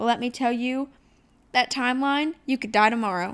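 A woman with an American accent speaks at a moderate pace in a high pitch with a bright, sharp tone and ordinary pitch variation, in a very clean recording with a silent background. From Ohio. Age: 20s. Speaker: podcast host, small business owner. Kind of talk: solo podcast monologue. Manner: casual, chatty.

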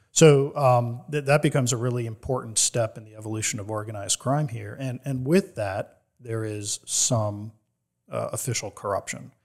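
A plain, everyday voice from a man at medium pitch, moderate pace, ordinary pitch variation and big swings in loudness, in a very clean recording with a silent background. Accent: American. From New Jersey. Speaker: author and organized crime historian. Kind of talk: interview.

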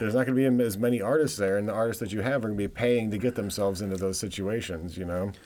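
A man's fairly low pitch and dark, mellow tone with an American accent, at a very fast pace with hardly any pauses and ordinary pitch variation. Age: 40s. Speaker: podcast host. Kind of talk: casual chat.

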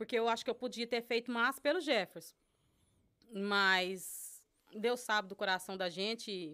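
In a very clean recording with a silent background, a woman with a rural Brazilian accent speaks at medium pitch and a moderate pace, with ordinary pitch variation and a bright, sharp tone. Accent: rural Brazilian countryside (caipira). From Brazil, interior of São Paulo state. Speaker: Brazilian immigrant, social volunteer. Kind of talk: casual chat.

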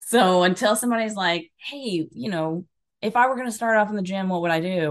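A woman with an American accent, fairly low in pitch, ordinary pitch variation, quiet background. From Alabama, US South. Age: 30s. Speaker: personal coach and stand-up comedian. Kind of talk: casual interview chat. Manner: talkative.

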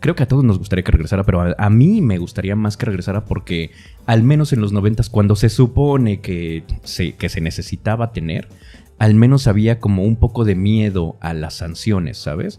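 Over music in the background, a man speaks at a moderate pace in a fairly low voice with ordinary pitch variation. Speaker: voice actor / announcer podcast co-host. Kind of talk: casual chat.

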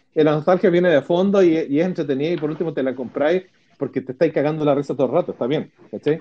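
Very fast and fairly high in pitch, this man's voice has a dark, mellow tone. His pitch varies in an ordinary way. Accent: Chilean. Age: 40s. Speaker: podcast co-host. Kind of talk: casual chat.

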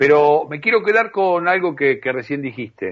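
At a moderate pace, a man's voice moves through very wide pitch swings. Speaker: radio host. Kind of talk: radio interview. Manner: halting.

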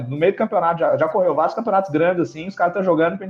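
A man with a high pitch and ordinary pitch variation talks through noticeable background noise. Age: 20s. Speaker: competitive video game player. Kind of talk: casual chat.

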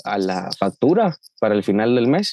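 An unremarkable speaking voice from a man, medium in pitch, at a fairly slow pace. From Guatemala, Chiquimula. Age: 20s. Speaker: young migrant. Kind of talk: interview.

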